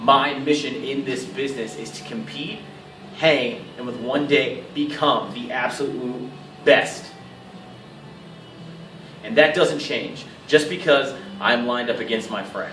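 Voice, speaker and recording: With music in the background, a man speaks fairly slowly at a fairly high pitch, with ordinary pitch variation, long, frequent pauses and big swings in loudness. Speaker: professional wrestler. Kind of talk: wrestling promo.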